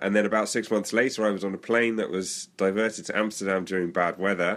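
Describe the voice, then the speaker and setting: The speech is in a British accent and a flat monotone, on a very clean recording with a silent background. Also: man. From England. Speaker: author. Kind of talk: interview.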